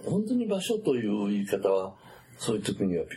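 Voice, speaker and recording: Noticeable background noise is present. Through it, a man's voice can be heard. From Japan, Takayama (Gifu), Wakayama-dialect family. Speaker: psychiatrist. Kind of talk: interview. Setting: office.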